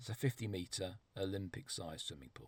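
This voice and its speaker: Vocal fry marks this man's voice. He keeps a moderate pace. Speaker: storyteller vlogger. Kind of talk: personal storytelling monologue.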